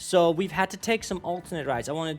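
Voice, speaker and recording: With music playing in the background, the speaker talks at a very fast pace. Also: man. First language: not English. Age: 20s. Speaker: YouTube reaction creator. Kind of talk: casual vlog intro. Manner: rambling, many fillers.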